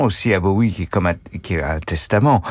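A man with a very deep, low pitch speaks fairly quickly, his pitch varying in an ordinary way, on a very clean recording with a silent background. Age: 60s. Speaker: film critic panelist. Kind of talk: casual chat. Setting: studio.

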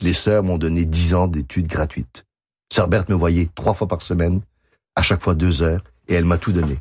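A somewhat breathy voice on a very clean recording with a silent background. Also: man. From Quebec. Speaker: concert pianist and composer. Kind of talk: radio interview. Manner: halting.

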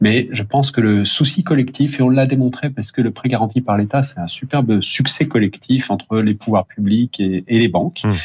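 Somewhat breathy, this man talks at a moderate pace and a medium pitch. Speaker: bank executive. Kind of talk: radio interview. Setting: remote line to radio studio. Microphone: line cut out briefly.

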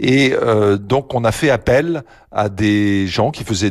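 A very slow-paced man with ordinary pitch variation, in a very clean recording with a silent background. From eastern France, Lunéville. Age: 60s. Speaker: company president. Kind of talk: radio interview. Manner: hesitant, many fillers.

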